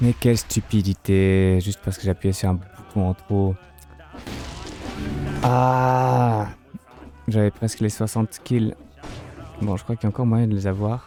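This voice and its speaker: Quiet and fairly low-pitched, a man talks at a fairly slow pace with long, frequent pauses and ordinary pitch variation while music plays in the background. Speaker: streamer. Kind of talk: gameplay live commentary. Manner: speaking quietly.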